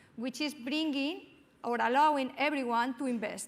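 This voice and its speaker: This speaker has a Spanish accent. The pitch varies in an ordinary way. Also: woman. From Spain. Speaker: panel moderator, business school academic. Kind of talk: panel moderation. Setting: stage with audience.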